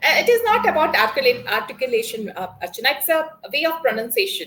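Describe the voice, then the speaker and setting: A woman's very fast, high-pitched delivery with very wide pitch swings and big swings in loudness. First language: Konkani. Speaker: English learner. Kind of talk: one-on-one spoken English lesson. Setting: video call. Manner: halting, many fillers.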